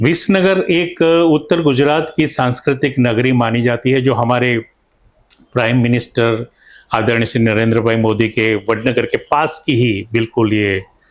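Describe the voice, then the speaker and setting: This is an ordinary speaking voice from a man at medium pitch. His pitch varies in an ordinary way and his loudness stays very even. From north Gujarat, India (Mehsana district). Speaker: painter and stage actor. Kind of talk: interview.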